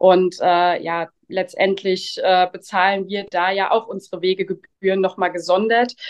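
A woman's medium-pitched, monotone, flat delivery at a fairly slow pace. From Rheinhessen, Germany. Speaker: winemaker. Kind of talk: interview. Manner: hesitant fillers.

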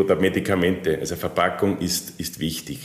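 A man talks in an ordinary speaking voice. His pace is moderate and his intonation fairly even. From Austria. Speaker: packaging machinery sales manager. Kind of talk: interview.

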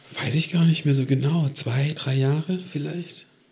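This man's voice sits fairly high in pitch, with a dark, mellow tone. It is somewhat breathy and has ordinary pitch variation. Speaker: comedian. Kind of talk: casual chat.

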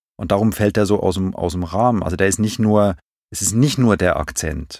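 A man with a fairly low voice speaks at a moderate pace with ordinary pitch variation, an unremarkable speaking voice, on a very clean recording with a silent background. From Switzerland, Zurich. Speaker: film and TV director. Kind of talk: casual interview.

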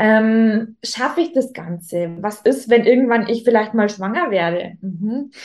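A woman's fairly high voice at a fairly slow pace, with ordinary pitch variation and hardly any pauses. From Upper Bavaria, Germany (Rosenheim). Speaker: Instagram business coach, former fashion influencer. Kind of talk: casual interview. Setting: video recording, also on YouTube.

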